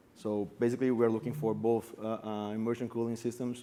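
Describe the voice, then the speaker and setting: A man with a Brazilian accent talks at a very fast pace, his pitch medium and his tone dark and mellow. His intonation is monotone and flat. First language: Portuguese. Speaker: bitcoin mining company founder. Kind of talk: panel discussion.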